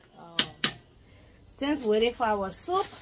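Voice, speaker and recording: A woman's fairly high voice with very wide pitch swings, over noticeable background noise. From Liberia. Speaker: home cook video blogger. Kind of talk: cooking tutorial. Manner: casual. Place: kitchen. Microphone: camera far.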